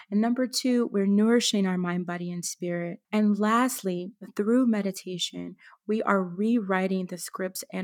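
At a fairly slow pace, an unremarkable speaking voice holds fairly even intonation in a very clean recording with a silent background. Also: woman. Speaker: wellness entrepreneur and educator. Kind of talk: interview conversation.

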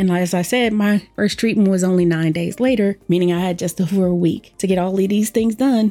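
Her tone is dark and mellow, as this woman speaks with an American accent. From Washington, D.C., US. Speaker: podcast host and cancer survivor. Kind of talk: personal testimony monologue.

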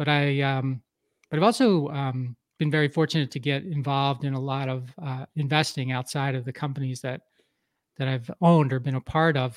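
A man with an unremarkable speaking voice talks at a fairly quick pace in a fairly high pitch with fairly even intonation. The very clean recording has a silent background and a dry, close sound with no echo. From US Northeast, Philadelphia area. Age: 50s. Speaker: entrepreneur and business coach. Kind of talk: podcast interview.

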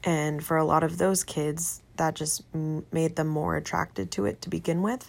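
On a very clean recording with a silent background, a woman with a very deep, low pitch speaks at a moderate pace. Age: 20s. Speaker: podcast host, college student. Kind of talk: solo podcast monologue. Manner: halting, many fillers.

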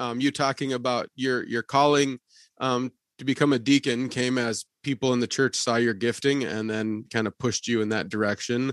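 A man speaks at a medium pitch and a moderate pace, the sound dry and close with no echo. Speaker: pastor, podcast host. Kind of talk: casual interview conversation. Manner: blunt.

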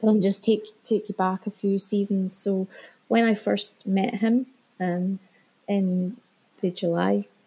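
In a dry, close sound with no echo, a somewhat breathy woman with a dark, mellow tone and medium pitch speaks very slowly in a flat monotone, leaving long, frequent pauses. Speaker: guest sharing separation story. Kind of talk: interview. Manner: halting.

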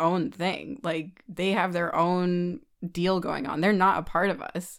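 A woman talks at a moderate pace in a medium pitch. The recording is very clean, with a silent background. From California, San Francisco Bay Area. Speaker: sailor and bosun. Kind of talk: casual interview chat.

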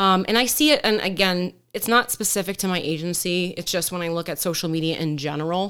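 A woman with an American accent and a plain, everyday voice, at a fairly quick pace, in a very clean recording with a silent background. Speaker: police deputy. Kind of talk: casual chat. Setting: studio.

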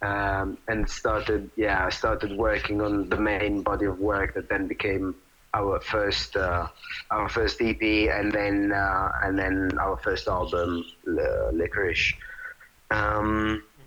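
A man with an Italian accent at a very slow pace, over noticeable background noise. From Italy. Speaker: rock drummer. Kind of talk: interview. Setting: phone call. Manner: halting, repeating words.

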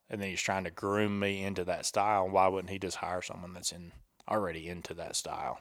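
On a very clean recording with a silent background, a man with a Southern US accent speaks at a moderate pace in a very deep, low pitch with monotone, flat intonation. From US South, Tennessee near Chattanooga. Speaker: hunting photographer and military veteran. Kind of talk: casual chat. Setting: home kitchen.

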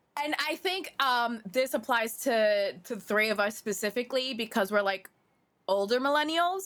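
Lively intonation marks a woman's normal speaking voice, which is fairly high in pitch. She speaks at a moderate pace. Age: 30s. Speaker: podcast co-host. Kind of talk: reading aloud; casual chat.

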